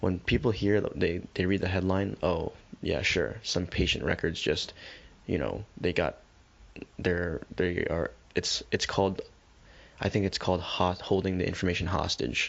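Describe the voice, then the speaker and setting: Vocal fry at a moderate pace, with ordinary pitch variation and very even loudness. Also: man, very deep, low pitch for a man. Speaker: podcast co-host. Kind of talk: casual chat.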